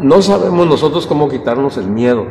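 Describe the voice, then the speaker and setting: Pitched fairly high, a man talks at a moderate pace with ordinary pitch variation. Noticeable background noise and audible room echo fill the recording. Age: 70s. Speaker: Bible study teacher. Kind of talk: Bible study class. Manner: halting.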